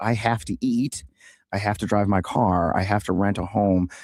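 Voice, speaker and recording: This is a man's voice. It carries an American accent. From US Midwest, St. Louis area, Missouri. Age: 60s. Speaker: political candidate, army veteran. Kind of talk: radio interview.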